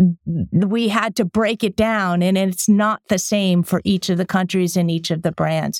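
In a very clean recording with a silent background and a dry, close sound with no echo, a woman talks at a moderate pace with ordinary pitch variation in an ordinary speaking voice. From Connecticut, near New Haven. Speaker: former marketing executive. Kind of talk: interview.

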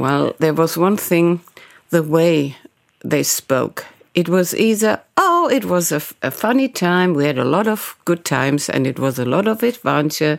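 A woman with a German accent speaks at a fairly slow pace. Her fairly low voice makes very wide pitch swings. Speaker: journalist. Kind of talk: interview.

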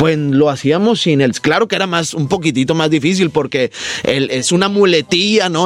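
A man with a northern Mexican accent speaks at a moderate pace, fairly high in pitch. His pitch varies in an ordinary way, and there is noticeable background noise. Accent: northern Mexican (Monterrey). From Monterrey, Nuevo León, Mexico. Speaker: comedian. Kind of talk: casual interview chat.

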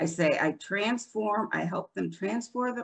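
A woman with an American accent speaks with vocal fry and very wide pitch swings. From upstate New York, Rochester. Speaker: divorce and family law attorney. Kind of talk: interview.

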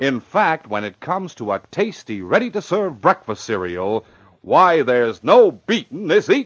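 A man puts on a character voice with a fairly high pitch and a slightly husky edge. He speaks at a fairly slow pace, and his pitch swings widely.

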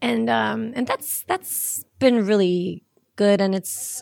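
A woman at medium pitch talks in a Norwegian accent, in a very clean recording with a silent background. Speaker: singer-songwriter. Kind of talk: casual interview.

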